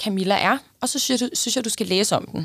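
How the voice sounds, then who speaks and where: On a very clean recording with a silent background, the voice shows vocal fry. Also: woman. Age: 30s. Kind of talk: casual chat.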